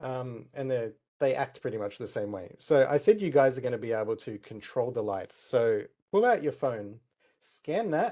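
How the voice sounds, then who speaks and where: Lively intonation marks this man's speech in an Australian accent. He talks at a moderate pace and medium pitch in a dark, mellow tone. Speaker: tech community speaker. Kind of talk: conference talk with live demo. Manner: shaky, nervous.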